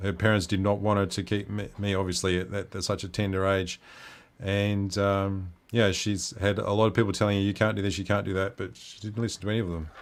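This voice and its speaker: A man with an Australian accent, fairly quick and monotone, flat in delivery, on a very clean recording with a silent background. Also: fairly low pitch for a man. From Western Australia. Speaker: livestream host. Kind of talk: casual chat.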